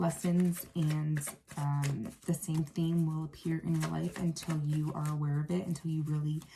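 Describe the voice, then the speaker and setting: A woman's voice is very deep and low, with a dark, mellow tone. She sounds somewhat breathy, and her intonation is monotone and flat. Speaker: tarot reader. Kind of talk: tarot reading monologue. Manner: fast; hesitant, many fillers.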